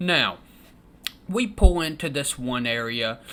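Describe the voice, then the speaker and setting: A fairly slow delivery in a Southern US accent. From Kentucky. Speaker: storytelling vlogger. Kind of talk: casual storytelling. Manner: animated.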